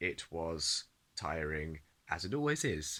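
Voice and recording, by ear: The voice has a fairly bright tone and moves at a fairly slow pace. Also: man.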